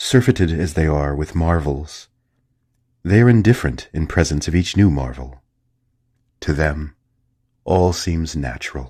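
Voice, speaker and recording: Soft-spoken and very deep in pitch, a man talks at a fairly slow pace with long, frequent pauses, lively intonation and a dark, mellow tone, on a very clean recording with a silent background. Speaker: narrator. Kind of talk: sleep story. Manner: soft-spoken, calm, hushed.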